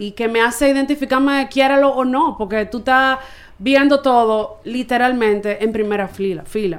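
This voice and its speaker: A woman talks fairly slowly with ordinary pitch variation. She has an ordinary speaking voice. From Santo Domingo, Dominican Republic. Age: 20s. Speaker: baseball team communications staffer. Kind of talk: casual chat.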